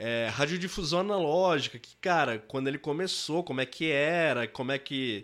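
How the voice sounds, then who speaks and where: A man talks at a moderate pace. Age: 30s. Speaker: music producer. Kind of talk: interview. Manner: casual, slangy.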